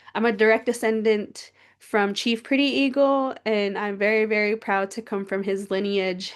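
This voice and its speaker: Against a quiet background, a woman with an American accent speaks at medium pitch with fairly even intonation. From Crow Reservation, southeastern Montana. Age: 30s. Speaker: PhD researcher. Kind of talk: presentation.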